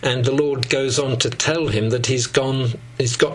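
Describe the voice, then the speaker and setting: Amid noticeable background noise and audible room echo, a man speaks at a medium pitch in a monotone, flat way. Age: 70s. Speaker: Bible teacher. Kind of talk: lecture.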